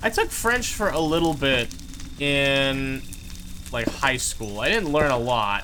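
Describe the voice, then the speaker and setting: A man with a fairly high voice talks very slowly at a very even loudness, with noticeable background noise and audible room echo. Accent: American. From California. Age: 20s. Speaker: gaming streamer. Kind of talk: live gameplay stream chat. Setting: live stream. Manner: casual, rambling filler words.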